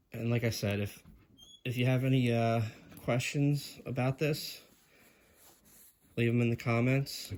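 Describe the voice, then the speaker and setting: At a fairly slow pace, a man with a medium pitch talks in a flat monotone, leaving long, frequent pauses. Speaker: Lego hobbyist video creator. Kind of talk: casual product review vlog. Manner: casual, halting with fillers.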